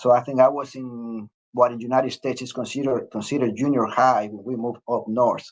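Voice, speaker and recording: A man with a strong Mexican accent at a medium pitch, very fast and monotone with flat intonation, his loudness swinging widely, over a quiet background. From Mexico, Mexico City. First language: Spanish. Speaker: retired Air Force officer. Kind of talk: interview. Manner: hesitant, many fillers.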